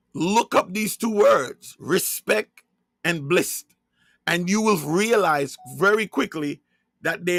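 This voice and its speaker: This man speaks at a very slow pace in a Jamaican accent, with a high pitch and ordinary pitch variation. His voice comes through dry and close with no echo, on a very clean recording with a silent background. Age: 50s. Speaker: religious online broadcaster. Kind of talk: religious monologue livestream.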